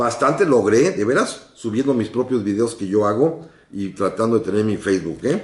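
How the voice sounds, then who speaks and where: At a moderate pace and medium pitch, a man speaks in an unremarkable speaking voice with ordinary pitch variation. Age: 60s. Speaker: radio host and historian. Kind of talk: radio history program. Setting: radio studio, live broadcast.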